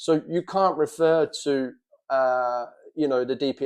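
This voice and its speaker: A man with a London accent speaks at a fairly high pitch. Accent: Cockney London. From London, England. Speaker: military veteran and former prisoner of war. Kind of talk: monologue to camera about experience. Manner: casual with many fillers.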